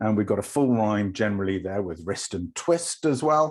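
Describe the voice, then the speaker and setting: With a northern English accent, a man speaks with lively intonation. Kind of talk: academic, explanatory.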